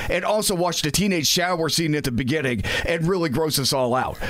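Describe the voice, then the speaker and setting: A man speaks with lively intonation. Noticeable background noise can be heard. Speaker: traffic reporter. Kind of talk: casual chat.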